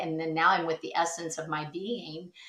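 A fairly quick-paced woman's voice, fairly low in pitch. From US Midwest (southwest Iowa). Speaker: teacher and performing artist. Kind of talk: interview conversation. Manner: animated.

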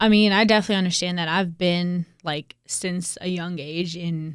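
On a very clean recording with a silent background, a woman speaks in a fairly low pitch with an American accent. She has a normal speaking voice and keeps a moderate pace. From US South, Raleigh, North Carolina. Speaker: city council candidate. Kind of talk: interview.

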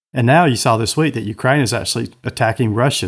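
In a Southern US accent, a man speaks at medium pitch and moderate pace with ordinary pitch variation, recorded very cleanly against a silent background. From US South (Georgia). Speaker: co-host, former state legislator. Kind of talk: casual political chat.

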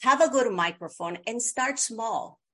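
Over a quiet background, a woman with a Bolivian accent speaks at a moderate pace with lively intonation. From Bolivia (La Paz). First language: Spanish. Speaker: video producer and media coach. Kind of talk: interview.

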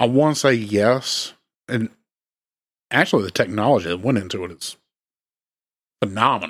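A man's medium-pitched voice with a Southern US accent, lively intonation, and long, frequent pauses. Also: moderate pace. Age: 30s. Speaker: true crime podcast co-host. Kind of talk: casual chat.

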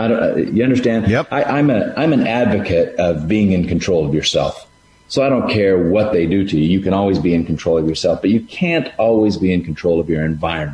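In a plain, everyday voice, a man with fairly low pitch talks fairly quickly with lively intonation, very even loudness and hardly any pauses. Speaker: parent of five. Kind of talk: casual chat.

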